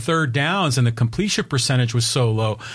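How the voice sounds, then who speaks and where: A man's somewhat breathy voice, fairly quick in pace, with lively intonation. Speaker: co-host. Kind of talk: sports talk show banter.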